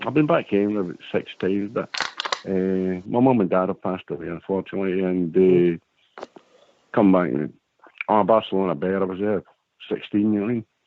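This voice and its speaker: A man with a very deep, low pitch talks at a fairly quick pace, with long, frequent pauses. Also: ordinary pitch variation. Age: 60s. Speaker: caller, former footballer. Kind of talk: casual chat.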